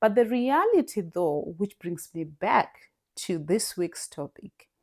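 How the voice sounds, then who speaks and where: On a very clean recording with a silent background, a woman with a non-native accent speaks very slowly at a medium pitch with lively intonation. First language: not English. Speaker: podcast host. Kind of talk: solo podcast monologue. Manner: halting, many repetitions.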